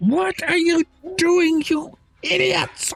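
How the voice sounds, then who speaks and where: Someone shouts in a high-pitched, put-on character voice. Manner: screaming, furious.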